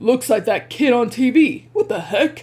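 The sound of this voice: A put-on character voice, high-pitched and gruff, delivers lines at a moderate pace.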